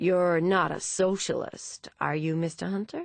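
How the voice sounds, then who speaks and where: A put-on character voice, female-sounding, at a middle pitch and a moderate pace. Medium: read story. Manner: bluff, hearty.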